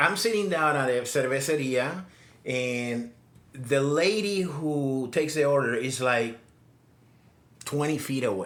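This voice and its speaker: Audible room echo surrounds a man's voice. He speaks at a fairly slow pace with ordinary pitch variation. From Puerto Rico. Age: 60s. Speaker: digital nomad, former engineer. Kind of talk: casual interview storytelling. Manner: halting, many repetitions.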